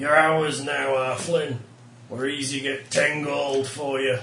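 A man puts on a gruff character voice, fairly high in pitch. He talks at a fairly slow pace with a slight echo. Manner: threatening, gruff.

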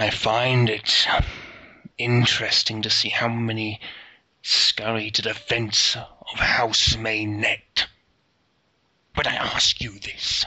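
A man uses a put-on character voice at medium pitch, strained and monotone with flat intonation. He goes at a very slow pace, with long, frequent pauses.

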